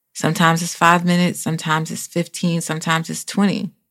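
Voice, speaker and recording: Over a very clean recording with a silent background, a woman talks at a very fast pace with a fairly low pitch. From small town. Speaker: podcast host. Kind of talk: casual motivational monologue. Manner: conversational, off the cuff.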